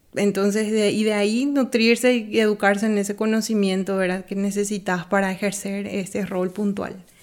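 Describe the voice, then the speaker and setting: A woman speaks at a moderate pace with hardly any pauses. Her medium pitch holds a monotone, flat intonation. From Bolivia. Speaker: art production designer. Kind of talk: interview.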